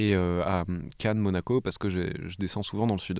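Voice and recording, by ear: A man's low-pitched voice at a fairly quick pace, with a slightly mellow tone. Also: fairly even intonation.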